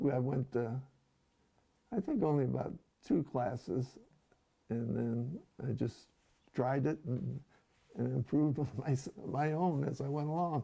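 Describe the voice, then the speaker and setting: A man talks at a fairly slow pace in a somewhat breathy voice with a dark, mellow tone, leaving long, frequent pauses. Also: medium pitch for a man, ordinary pitch variation. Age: 80s+. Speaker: designer and car restorer. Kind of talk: interview. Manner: halting.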